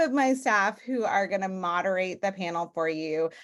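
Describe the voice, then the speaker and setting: At a moderate pace, a woman speaks in a normal speaking voice with lively intonation. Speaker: graduate school dean. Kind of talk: welcome remarks on webinar. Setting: video call.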